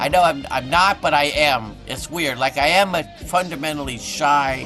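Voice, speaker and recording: A man's fairly high voice at a moderate pace, with ordinary pitch variation and music in the background. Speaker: voice actor. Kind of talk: interview answer. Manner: quiet, shy.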